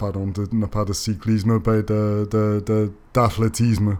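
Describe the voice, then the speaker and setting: Speaking with a non-native accent, a man talks at a very slow pace in a fairly low, flat monotone. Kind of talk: voice-over narration of bike ride video. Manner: hesitant, many filler sounds.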